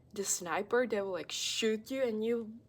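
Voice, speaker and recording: The woman has a non-native accent. Her voice sits fairly high in pitch. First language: not English. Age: 19. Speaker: vlogger. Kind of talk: casual monologue vlog. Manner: halting, many fillers.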